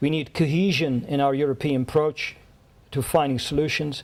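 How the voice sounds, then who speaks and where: A man's fairly high voice in a Dutch accent, with fairly even intonation at a moderate pace. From Netherlands. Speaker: diplomat. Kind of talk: speech. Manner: halting.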